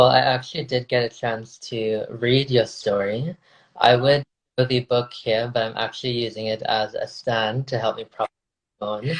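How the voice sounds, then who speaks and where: A man in an American accent, medium pitch and monotone, flat intonation, somewhat breathy, at a moderate pace, with dry, close sound and no echo. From South Florida, Indo-Trinidadian community. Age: 20s. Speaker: podcaster and researcher. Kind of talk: casual interview chat.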